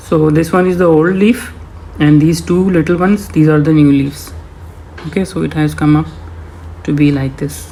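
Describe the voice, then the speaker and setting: A man at a moderate pace with a non-native accent, fairly high in pitch, fairly even in intonation, with long, frequent pauses. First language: not English. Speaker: home gardener. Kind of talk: voice-over tutorial. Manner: hesitant, many fillers.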